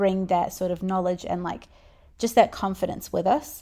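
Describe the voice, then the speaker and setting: A woman with a New Zealand accent, dark and mellow in tone, with fairly even intonation, in a very clean recording with a silent background. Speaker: podcast host, business owner. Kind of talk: solo podcast monologue. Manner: casual, conversational.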